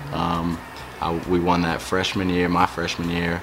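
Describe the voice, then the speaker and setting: Amid noticeable background noise and audible room echo, a man with a very deep, low pitch talks at a moderate pace. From Australia. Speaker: professional football player. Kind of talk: interview. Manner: hesitant, many fillers.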